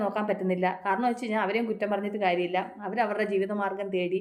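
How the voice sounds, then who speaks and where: A woman talks in a normal speaking voice at a medium pitch. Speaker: motivational vlogger. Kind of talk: motivational talk. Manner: repetitive, conversational.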